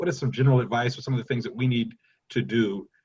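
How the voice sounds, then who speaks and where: Some breathiness colors this man's speech. His pitch sits in the medium range. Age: 40s. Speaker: panel moderator. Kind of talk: panel discussion.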